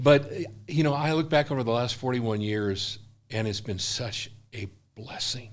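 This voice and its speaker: A man with an American accent speaks at a moderate pace, his pitch medium and its variation ordinary. He leaves long, frequent pauses. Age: 60s. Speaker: missionary. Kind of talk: interview. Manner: animated.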